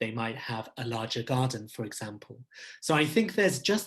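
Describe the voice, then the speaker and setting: A man speaks at a fairly quick pace and sounds somewhat breathy. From Abu Dhabi, UAE. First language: not English. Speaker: leadership consultant. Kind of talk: Q&A interview answering questions. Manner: formal.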